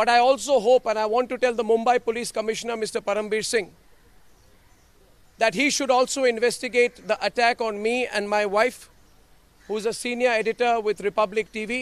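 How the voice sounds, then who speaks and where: A man speaks at an extremely high pitch in a monotone, flat intonation. His fairly quick delivery has a dry sound with no echo. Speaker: news anchor giving press statement. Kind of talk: press statement to reporters. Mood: firm, defiant. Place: street. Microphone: handheld.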